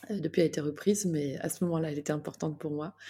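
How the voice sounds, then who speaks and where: On a very clean recording with a silent background, a woman speaks in a dark, mellow tone at a fairly low pitch with fairly even intonation. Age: 50s. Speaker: health coach. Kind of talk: personal testimony. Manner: hesitant, frequent fillers and repetitions.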